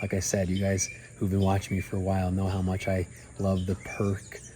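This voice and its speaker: A man's very deep, low voice comes across dark, mellow and somewhat breathy. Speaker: airline pilot and travel vlogger. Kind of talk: casual vlog talk to camera. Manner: animated.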